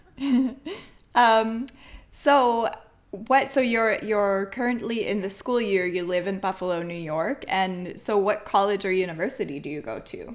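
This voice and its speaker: The recording is very clean, with a silent background, and carries an ordinary speaking voice. Loudness swings widely while pitch varies in an ordinary way. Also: woman, medium pitch for a woman, fairly slow pace. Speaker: podcast host. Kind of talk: interview.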